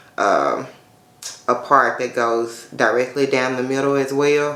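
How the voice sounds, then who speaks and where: A woman with a very deep, low pitch and fairly even intonation at a fairly slow pace, with audible room echo and noticeable background noise. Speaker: natural hair YouTuber. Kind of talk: hair tutorial. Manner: casual, conversational with fillers.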